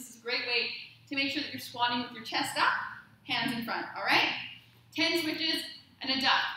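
A woman speaks in a raised, projected voice at a very fast pace. Her intonation is fairly even, and the room echo is strong. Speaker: fitness instructor. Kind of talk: workout class instruction. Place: gym.

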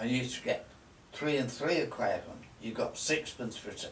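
A man speaks at a fairly quick pace. Audible room echo and light background noise surround his voice. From Lancashire, northern England. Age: 90s. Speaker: shopkeeper. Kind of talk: reminiscing interview. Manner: halting. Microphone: camera far.

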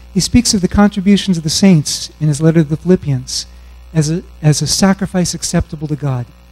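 A man speaks with a high pitch and ordinary pitch variation. Faint music plays in the background. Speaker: conference speaker. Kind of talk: sermon-like lecture. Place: stage. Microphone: handheld.

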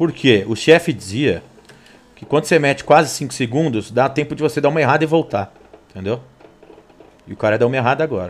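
A man with a fairly high pitch, an animated tone, lively intonation, and long, frequent pauses. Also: fairly quick pace. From Brazil. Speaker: sim racing streamer. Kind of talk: live gameplay commentary. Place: home room.

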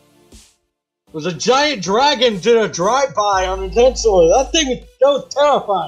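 A man does a gruff, put-on character voice with a high pitch. He speaks at a moderate pace over faint music in the background. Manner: gruff, hungover and irritable.

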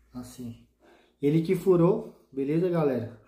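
A man's dark, mellow tone, fairly slow pace and ordinary pitch variation, with audible room echo. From Brazil. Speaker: motovlog youtuber; motovlogger. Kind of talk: casual product tutorial vlog. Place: home room.

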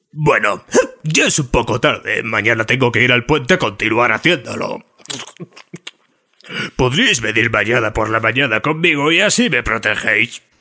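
In a cartoonish character voice, a man speaks at medium pitch and a moderate pace, with very even loudness and long, frequent pauses. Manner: rambling, deadpan.

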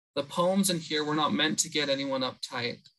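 There is a quiet background behind this man. His fairly high voice has a bright, sharp tone and ordinary pitch variation. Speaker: academic researcher; panelist. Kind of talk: academic presentation. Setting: video call. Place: home room. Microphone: webcam.

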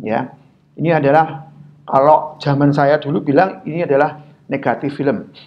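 Moving at a moderate pace, a man speaks with a fairly high pitch. His voice carries audible room echo. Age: 40s. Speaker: guest lecturer in IT. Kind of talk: public lecture. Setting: video call. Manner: halting, many fillers.

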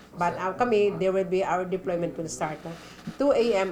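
Noticeable background noise sits behind a woman's fairly low voice. Her pitch varies in an ordinary way. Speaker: police officer. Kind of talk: interview soundbite. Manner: halting.

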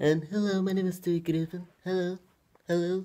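Someone in a put-on character voice speaks at a middle pitch and a moderate pace, in a monotone, flat intonation.

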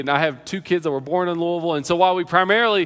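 The voice belongs to a man. It sits at a high pitch. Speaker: pastor. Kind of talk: sermon. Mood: prayerful then storytelling. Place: church. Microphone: headset.

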